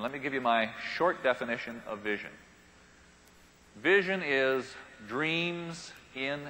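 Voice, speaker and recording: Over noticeable background noise, a man talks with a fairly high pitch and lively intonation. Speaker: keynote speaker and author on paradigms and the future. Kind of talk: live business keynote talk to an audience. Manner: conversational, humorous, engaging.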